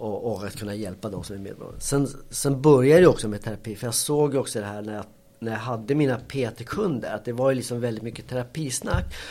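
Dark and mellow in tone, a man speaks at a fairly quick pace with ordinary pitch variation. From Colombia, raised in Sweden from age six. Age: 40s. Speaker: cognitive therapist. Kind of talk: casual interview, personal life story. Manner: halting, frequent repetitions and fillers.

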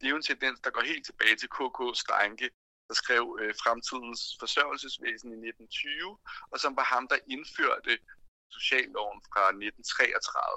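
Very slow speech from a man, with a dry, close sound and no echo. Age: 30s. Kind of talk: interview.

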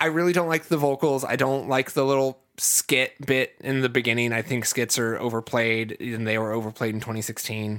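A man with an American accent talks at a fairly quick pace with hardly any pauses, his medium pitch moving with ordinary variation, on a very clean recording with a silent background. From US Midwest, Ohio. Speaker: podcast host. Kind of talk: casual chat. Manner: energetic.

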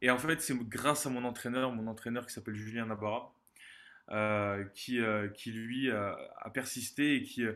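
Fairly slow speech from a man at a medium pitch against a quiet background. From southern France, Montpellier. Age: 20s. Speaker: former judo athlete and business consultant. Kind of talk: interview testimony. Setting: remote call. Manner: energetic.

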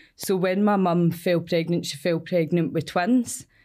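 A woman with a Glasgow accent, fairly low in pitch, at a fairly slow pace. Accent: Scottish (Glasgow area). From Scotland, Cumbernauld. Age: 20s. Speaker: addiction recovery worker. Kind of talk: interview.

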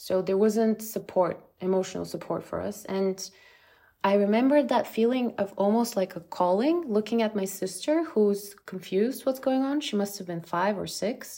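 A woman with a Bulgarian accent speaks at medium pitch. Her tone is dark and mellow. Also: ordinary pitch variation, moderate pace. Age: 30s. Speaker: app founder. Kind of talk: interview.

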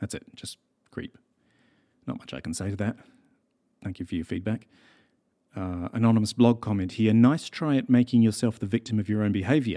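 In a New Zealand accent, a man with a dark, mellow tone at medium pitch speaks at a fairly quick pace with ordinary pitch variation, recorded dry and close with no echo on a very clean recording with a silent background. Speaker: podcast host and journalist. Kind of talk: casual monologue reading listener mail. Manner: conversational with frequent fillers.

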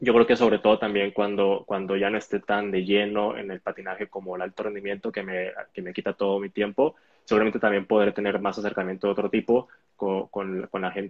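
At a fairly quick pace, a man with a fairly low pitch talks in a monotone, flat intonation. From Mexico, Hermosillo (Sonora). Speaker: elite roller skater. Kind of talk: online interview. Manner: hesitant, many repetitions.

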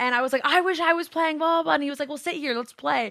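Projecting her voice, a woman with an American accent speaks in a bright, sharp tone with ordinary pitch variation. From Southern California. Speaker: Twitch streamer. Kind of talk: casual interview chat. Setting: video call over Discord.

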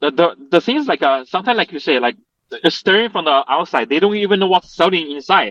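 A man speaks with a Chinese accent at a fairly high pitch and fairly quick pace. His intonation is lively, and the sound is dry and close with no echo. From Chongqing, China. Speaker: restaurant co-owner. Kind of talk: interview.

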